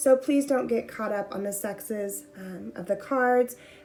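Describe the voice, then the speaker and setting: A woman talks in a fairly high pitch while noticeable background noise carries on. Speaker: tarot reader. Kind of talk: pick-a-card tarot reading.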